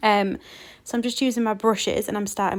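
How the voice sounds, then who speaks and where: In a British accent, a woman speaks with a fairly high pitch and a fairly quick pace. Her intonation is monotone and flat. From UK. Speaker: card-making crafter. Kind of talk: craft tutorial narration. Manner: casual, frequent ums.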